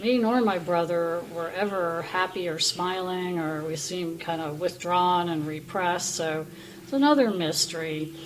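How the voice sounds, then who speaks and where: A woman's fairly low voice with ordinary pitch variation, audible room echo and noticeable background noise. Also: moderate pace. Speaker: vlogger. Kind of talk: testimony. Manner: halting.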